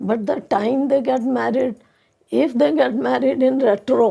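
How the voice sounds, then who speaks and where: The voice has a dark, mellow tone with vocal fry, moving at a fairly slow pace with lively intonation. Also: woman. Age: 70s. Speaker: astrologer. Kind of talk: interview.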